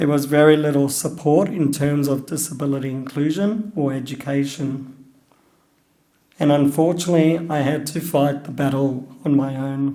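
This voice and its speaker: With an Australian accent, a man speaks at a moderate pace in a fairly high pitch, keeping his intonation fairly even. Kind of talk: personal talk.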